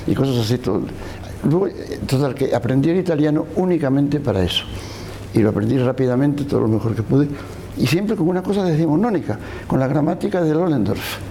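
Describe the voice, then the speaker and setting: Noticeable background noise runs under a man talking at a very fast pace. His fairly high voice has very even loudness and lively intonation. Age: 80s+. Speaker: novelist. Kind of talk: interview. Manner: halting, with frequent repetitions.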